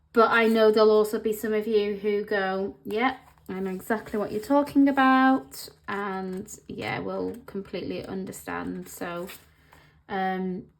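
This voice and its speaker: In an English accent, a woman at a medium pitch talks at a fairly slow pace, with ordinary pitch variation and big swings in loudness. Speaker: planner vlogger. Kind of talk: casual vlog talk. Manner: halting, many pauses.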